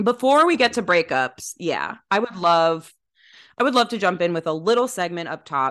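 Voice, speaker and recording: The pitch swings very widely in an enthusiastic, animated tone. The pace is moderate and the background quiet. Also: woman, medium pitch for a woman. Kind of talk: casual banter.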